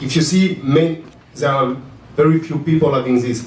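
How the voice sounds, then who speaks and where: A man with a French accent at a moderate pace, fairly even intonation, audible room echo around him. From France. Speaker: tech startup founder. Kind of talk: conference panel talk. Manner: halting.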